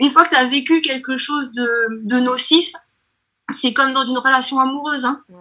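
A woman's raised, projected voice, high-pitched, with a bright, sharp tone, a fairly slow pace and fairly even intonation. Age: 30s. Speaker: entrepreneur. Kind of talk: interview. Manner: halting.

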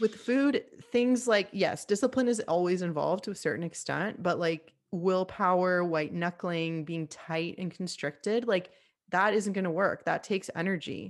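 In a plain, everyday voice with an American accent, this speaker talks at a moderate pace with ordinary pitch variation on a very clean recording with a silent background. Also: woman, medium pitch for a woman. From Miami, Florida, US. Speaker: nutritional therapist. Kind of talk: casual chat.

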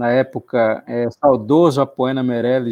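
Here a man speaks at a medium pitch with fairly even intonation. The recording is dry and close, with no echo. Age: 40s. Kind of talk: interview. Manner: halting.

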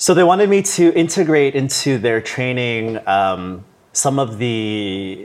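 On a very clean recording with a silent background, a man with an ordinary speaking voice and a Canadian accent talks fairly slowly with lively intonation. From Canada, Toronto. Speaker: yoga teacher. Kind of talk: casual interview.

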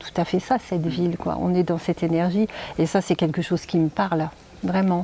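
Over noticeable background noise, a woman speaks at a fairly low pitch with monotone, flat intonation. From northeastern France (Reims). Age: 50s. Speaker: numerologist and life coach. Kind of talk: casual interview.

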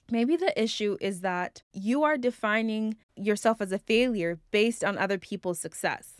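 Recorded very cleanly against a silent background, with a dry, close sound and no echo, a woman with an ordinary speaking voice talks at a moderate pace, her pitch fairly high and its variation ordinary. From immigrant to the US at age nine. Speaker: podcast host. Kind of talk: personal reflective monologue.

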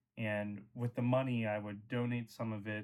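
The man talks at a moderate pace in a fairly low pitch. His intonation is monotone and flat. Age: 20s. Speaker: podcast co-host. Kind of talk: audition tape; casual chat.

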